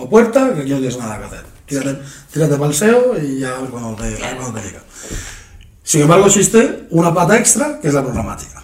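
A man with a fairly high voice speaks at a fairly quick pace, his pitch swinging very widely and his loudness rising and falling sharply, with long, frequent pauses, audible room echo and noticeable background noise. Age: 30s. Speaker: podcast host. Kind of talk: casual chat. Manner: halting.

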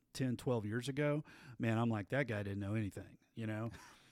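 This man speaks with a Texan accent. The recording is very clean, with a silent background. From West Texas (Abilene). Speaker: band director, podcast host. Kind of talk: casual chat. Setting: performing arts center.

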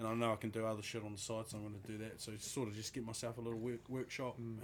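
The speaker talks at a very fast pace in a New Zealand accent. The intonation is monotone and flat. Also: man. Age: 20s. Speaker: podcast co-host. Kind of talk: casual chat.

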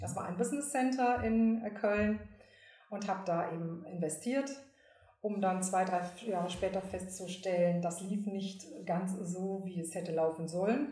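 A somewhat breathy woman with ordinary pitch variation, set in audible room echo. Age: 50s. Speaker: professional singer and entrepreneur. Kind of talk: casual interview.

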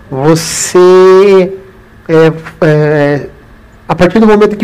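A man speaks in a high pitch with ordinary pitch variation. Noticeable background noise runs underneath. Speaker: running channel host. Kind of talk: live interview. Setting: live stream, video call. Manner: animated. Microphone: audio problem at start.

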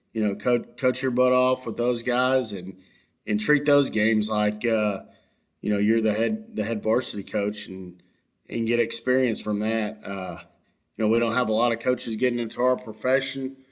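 On a very clean recording with a silent background, a man speaks in a Texan accent at a moderate pace, medium in pitch, with fairly even intonation. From Texas, West Houston. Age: 30s. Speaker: high school baseball coach. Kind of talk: casual interview chat. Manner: halting, many fillers.

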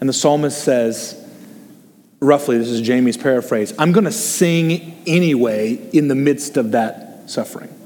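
A man speaks with lively intonation as noticeable background noise continues. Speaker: associate pastor. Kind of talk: sermon with group discussion. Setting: church with online stream. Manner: informal, humorous.

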